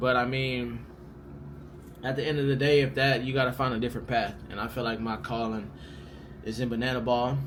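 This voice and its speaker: Fairly quick speech with fairly even intonation, long, frequent pauses and audible room echo. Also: man, medium pitch for a man. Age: 20s. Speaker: pro baseball player and vlogger. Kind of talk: casual Q&A vlog. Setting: hotel room. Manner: casual, filler-heavy.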